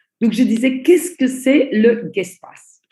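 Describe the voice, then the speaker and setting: With a dark, mellow tone and a fairly high pitch, a woman talks at a fairly slow pace. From Belgium. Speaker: network marketing trainer. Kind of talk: online training presentation. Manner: slow, deliberate.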